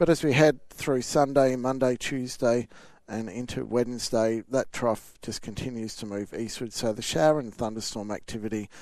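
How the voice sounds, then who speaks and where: A man with a normal speaking voice talks at a moderate pace and a medium pitch, his intonation fairly even. His loudness swings widely against a quiet background. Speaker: weather forecaster. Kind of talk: weather report, delivered as a live radio interview. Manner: relaxed, conversational, steady and matter-of-fact.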